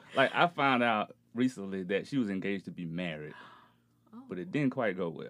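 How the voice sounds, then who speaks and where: A man with a southern Alabama accent speaks at a moderate pace and fairly low pitch, his intonation lively. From rural Alabama, US South. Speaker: podcast guest. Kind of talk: casual chat.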